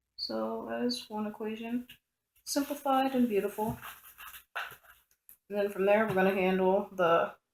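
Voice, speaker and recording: Someone is mumbling at a fairly slow pace. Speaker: electronics tutorial presenter. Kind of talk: casual tutorial explanation. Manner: mumbling, talks to self.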